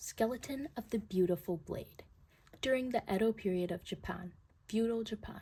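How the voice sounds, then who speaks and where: A woman with a dark, mellow tone and a somewhat breathy voice speaks at a fairly slow pace with lively intonation. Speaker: artist YouTuber. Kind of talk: casual chat. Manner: animated.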